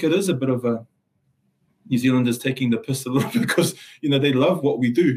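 Speaking at a very fast pace, a man has a medium pitch with ordinary variation. His voice is somewhat breathy. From Samoa, raised in South Auckland. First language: Samoan. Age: 40s. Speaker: lawyer and Salvation Army social worker. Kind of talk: interview conversation. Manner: halting, repeats words, passionate.

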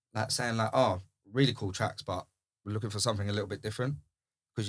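In a very clean recording with a silent background, a man with a British accent speaks in a fairly low pitch and fairly even intonation. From UK. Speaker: DJ and house music producer. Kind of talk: casual chat.

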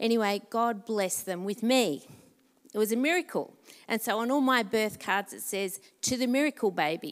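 With lively intonation, the speaker talks in an Australian accent on a very clean recording with a silent background. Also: woman, fairly high pitch for a woman, moderate pace. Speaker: pastor. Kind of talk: testimony. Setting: church.

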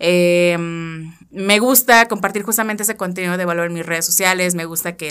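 A woman with a Mexican accent talks at a fairly low pitch. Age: 30s. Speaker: IT engineer and tech educator. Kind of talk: casual interview.

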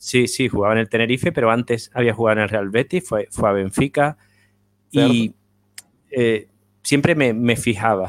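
Recorded dry and close with no echo, a man at medium pitch talks at a moderate pace with ordinary pitch variation and long, frequent pauses. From Spain. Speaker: football writer. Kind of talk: interview.

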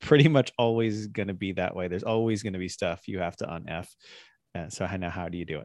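Very deep and low, a man's voice races along at a very fast pace. The background is quiet. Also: ordinary pitch variation. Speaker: podcast host. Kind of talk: casual chat.

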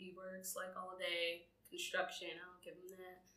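A woman speaks at a moderate pace in an ordinary speaking voice. Her pitch is medium. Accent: American. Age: 20s. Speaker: podcast co-host. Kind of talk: casual chat.

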